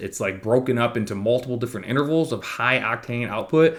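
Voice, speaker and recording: Very fast mumbling from a man at a medium pitch, with lively intonation. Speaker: fitness coach. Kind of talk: casual monthly program overview talk.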